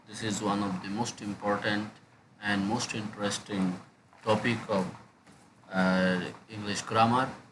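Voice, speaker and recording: A man speaks at a fairly slow pace in a fairly low, monotone, flat voice, with long, frequent pauses. Audible room echo and noticeable background noise surround him. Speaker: English lecturer. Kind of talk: lecture. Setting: screen recording. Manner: hesitant with many fillers.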